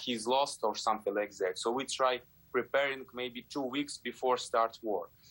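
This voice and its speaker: With a Ukrainian accent, a man talks at a medium pitch in a bright, sharp tone, his intonation fairly even. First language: Ukrainian or Russian. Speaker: ballet dancer. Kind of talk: interview. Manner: halting, many fillers.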